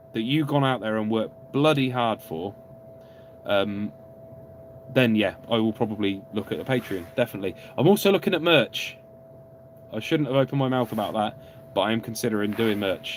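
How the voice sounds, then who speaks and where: A man talks at a fairly quick pace but leaves long, frequent pauses. Noticeable background noise can be heard. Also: medium pitch for a man, ordinary pitch variation. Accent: southern English. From England, Oxford. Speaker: car YouTuber. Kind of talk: live stream Q&A. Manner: animated.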